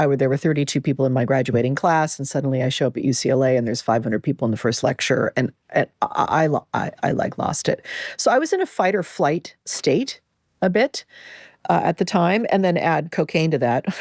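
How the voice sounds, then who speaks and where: A woman with a Californian accent, very deep, low pitch, lively intonation and a fairly quick pace, in a very clean recording with a silent background and a dry, close sound with no echo. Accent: General American (California). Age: 60s. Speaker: podcast host. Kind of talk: personal reflective monologue. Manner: conversational, with frequent repetitions and fillers.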